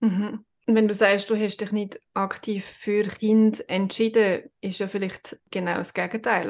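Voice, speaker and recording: The woman's medium pitch and monotone, flat intonation come at a very slow pace. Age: 40s. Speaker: podcast host. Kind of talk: casual interview.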